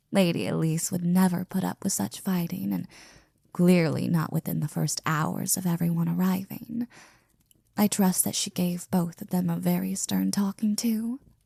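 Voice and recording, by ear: A woman in a put-on character voice, fairly low-pitched with a dark, mellow tone, fairly even intonation, vocal fry and a slightly husky edge, recorded dry and close with no echo. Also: moderate pace.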